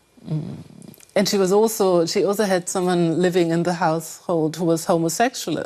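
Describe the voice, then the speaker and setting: In a German accent, a woman speaks at a fairly low pitch with fairly even intonation and a dark, mellow tone. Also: moderate pace. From Germany. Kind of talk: interview answer.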